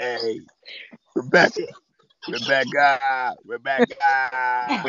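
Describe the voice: At a very slow pace, a man talks in a put-on character voice. The voice is raspy and sits at a medium pitch.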